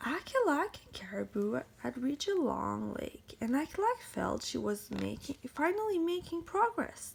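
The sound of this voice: The delivery is fairly slow, with few pauses and big pitch swings. Vocal fry and a slightly husky edge run through it. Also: woman, high pitch for a woman.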